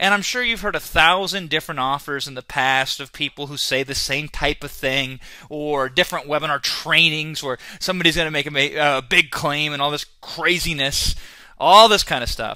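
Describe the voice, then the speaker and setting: In an Iowa accent, a man with a fairly high pitch and a bright, sharp tone speaks at a moderate pace, animated, with ordinary pitch variation. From US Midwest, Iowa. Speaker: online marketing trainer. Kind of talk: sales webinar. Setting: webinar.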